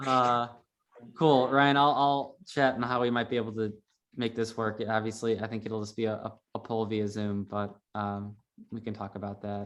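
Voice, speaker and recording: The speaker is a man with a medium pitch. He talks at a moderate pace with fairly even intonation. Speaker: neighborhood meeting chair. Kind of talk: community meeting. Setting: video call. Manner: halting.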